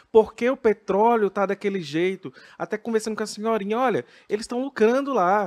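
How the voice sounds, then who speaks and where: A man's high-pitched voice at a fairly quick pace, lively in intonation, in a very clean recording with a silent background and a dry, close sound with no echo. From Brazil, interior of Minas Gerais. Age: 30s. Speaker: drag queen and health sciences professor. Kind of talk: casual interview chat.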